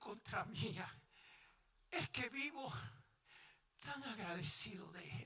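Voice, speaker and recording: A man with a Puerto Rican accent speaks in a raised, projected voice at an extremely high pitch, with lively intonation, big swings in loudness, and long, frequent pauses against noticeable background noise. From Puerto Rico. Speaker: pastor. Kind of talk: sermon. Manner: animated, passionate.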